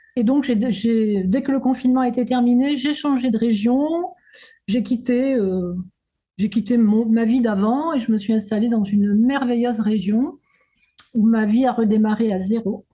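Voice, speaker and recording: Against a quiet background, a woman with a fairly high pitch and a dark, mellow tone speaks fairly slowly, her intonation fairly even and her loudness very even. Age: 70s. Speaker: retired sophrologist and therapist. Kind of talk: testimonial interview. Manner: halting.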